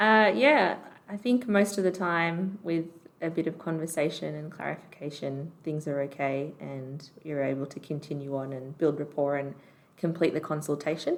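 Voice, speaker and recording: A woman's very deep, low voice in an Australian accent, at a moderate pace with ordinary pitch variation. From Canberra, Australia. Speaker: doctor. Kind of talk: podcast interview.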